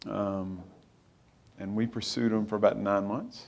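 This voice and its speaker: Audible room echo surrounds a man with an Arkansas accent who speaks at a fairly low pitch and a moderate pace with monotone, flat intonation. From Arkansas, US South (Helena). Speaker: company founder and CEO. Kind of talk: on-stage interview.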